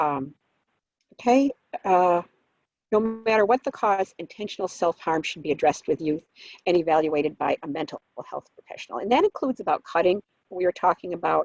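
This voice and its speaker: Speaking at a fairly quick pace with long, frequent pauses, a woman uses lively intonation at a fairly low pitch. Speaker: presenter on youth suicide prevention. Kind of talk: conference presentation. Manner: fast.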